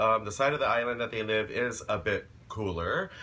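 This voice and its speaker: A bright, sharp tone comes from the man speaking. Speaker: vlogger. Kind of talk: casual vlog chat. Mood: cheerful, playful. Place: home room. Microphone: phone near.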